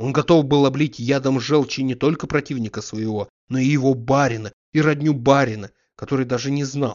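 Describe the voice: A quiet background behind plain reading aloud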